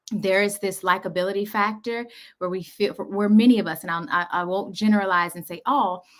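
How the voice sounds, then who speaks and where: Medium-pitched woman with an American accent. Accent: Southern drawl that comes out sometimes. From US South. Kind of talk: casual chat.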